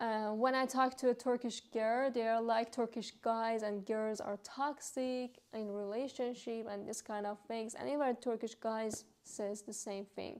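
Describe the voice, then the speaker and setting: With a Persian accent, a woman talks at a fairly slow pace with hardly any pauses, using a fairly high pitch and monotone, flat intonation. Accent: Persian (Iranian) accented English. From Iran. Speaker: vlogger. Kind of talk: casual vlog monologue. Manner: hesitant, frequent fillers.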